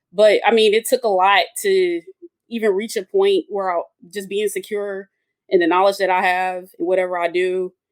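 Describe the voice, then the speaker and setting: A woman with an Atlanta accent speaks at a medium pitch, her voice sounding dry and close with no echo. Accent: Atlanta Southern. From US South, Atlanta. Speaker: engineer and women's soccer supporter. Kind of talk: casual roundtable chat.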